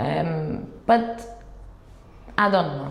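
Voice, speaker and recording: With audible room echo, a woman speaks at a medium pitch using lively intonation. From Cyprus. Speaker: compliance executive. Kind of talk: interview. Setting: office. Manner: hesitant.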